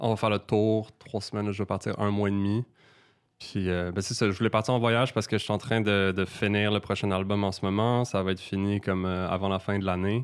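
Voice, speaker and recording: A fairly low-pitched male voice at a fairly quick pace, monotone and flat in intonation, with very even loudness on a very clean recording against a silent background. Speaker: singer-songwriter. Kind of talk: casual chat.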